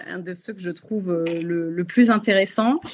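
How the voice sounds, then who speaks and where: A woman talks fairly slowly in a plain, everyday voice, her pitch varying in an ordinary way. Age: 30s. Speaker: MBA graduate in marketing. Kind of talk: webinar testimony. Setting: video call.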